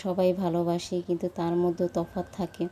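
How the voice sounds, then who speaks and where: Speaking at medium pitch, a woman has a dark, mellow tone. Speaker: lifestyle vlogger. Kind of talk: vlog voice-over narration. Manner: casual, halting with fillers.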